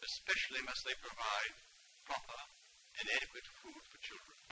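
Over noticeable background noise, a man speaks at a moderate pace with big swings in loudness. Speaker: committee chairman, peer. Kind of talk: official public statement. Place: home room. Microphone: old recording.

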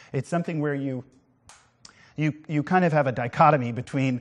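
Against a quiet background, a man speaks with a fairly high pitch. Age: 50s. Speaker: art show host. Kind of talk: live TV art presentation. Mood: warm, reflective, persuasive. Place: studio. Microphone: lapel.

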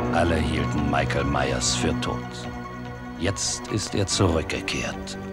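Loud music plays behind a man whose voice sounds dry, with no echo. He speaks very slowly, with long, frequent pauses. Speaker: voice actor. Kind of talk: movie trailer. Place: booth.

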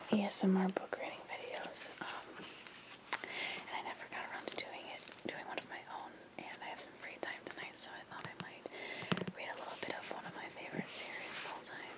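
Someone is whispering at a fairly quick pace. Noticeable background noise sits behind the voice. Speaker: ASMR creator. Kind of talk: casual talk to camera. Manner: whispered, soft-spoken.

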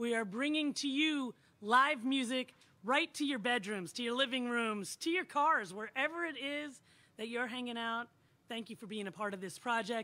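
With a bright, sharp tone and a high pitch, a woman talks at a moderate pace with ordinary pitch variation. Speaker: show host. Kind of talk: host introduction. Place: stage. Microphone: handheld.

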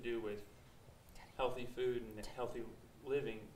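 Amid light background noise and audible room echo, a man speaks with monotone, flat intonation. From rural farm upbringing. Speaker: audience member. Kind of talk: question from audience.

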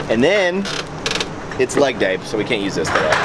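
Loud background noise behind a male speaker. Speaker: fitness vlogger. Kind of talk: casual vlog chat. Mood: joking, upbeat. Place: street. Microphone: phone near.

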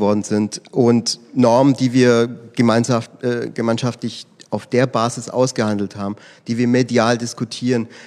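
At a fairly slow pace, a man speaks at medium pitch with monotone, flat intonation. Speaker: political scientist. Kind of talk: panel discussion. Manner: halting, many fillers.

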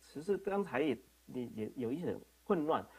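His pitch swings very widely as a man speaks fairly slowly. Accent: non-native. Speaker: internet governance board member and registry CEO; remote panelist. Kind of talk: panel response. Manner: halting. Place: home room. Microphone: video call.

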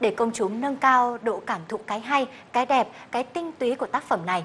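With light background noise behind her, a woman talks at a fairly quick pace. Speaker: TV news presenter. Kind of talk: news broadcast presenting. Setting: studio. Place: studio.

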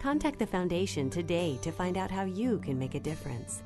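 A woman speaks at a fairly quick pace in a fairly low pitch with very wide pitch swings. Music plays in the background. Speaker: voice-over narrator. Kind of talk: corporate narration.

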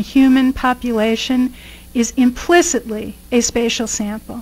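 The woman's voice sits high in pitch. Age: 50s. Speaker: professor. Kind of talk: lecture. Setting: stage with audience. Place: hall. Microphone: podium.

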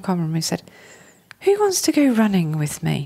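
This woman talks fairly quickly with a southern English accent, her pitch swinging very widely. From southern England, Hertfordshire. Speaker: chartered accountant. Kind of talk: interview. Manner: casual.

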